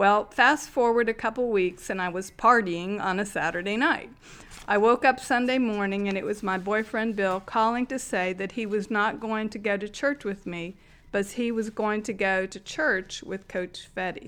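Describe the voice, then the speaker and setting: Moving at a moderate pace, a woman speaks in a plain, everyday voice. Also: medium pitch for a woman, ordinary pitch variation. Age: 60s. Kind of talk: testimony.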